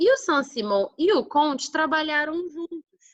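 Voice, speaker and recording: With a warm tone and an extremely high pitch, a woman speaks at a fairly slow pace in a dry, close sound with no echo. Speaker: schoolteacher. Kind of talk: online lesson (remote class review). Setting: recording from home. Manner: warm, informal.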